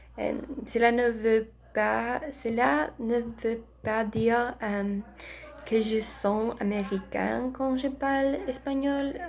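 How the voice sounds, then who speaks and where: Her voice is fairly high, and this woman speaks very slowly with long, frequent pauses. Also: ordinary pitch variation. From Philadelphia, US. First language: Spanish (speaking French). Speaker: language student vlogger. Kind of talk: casual vlog. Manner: halting, many hesitations.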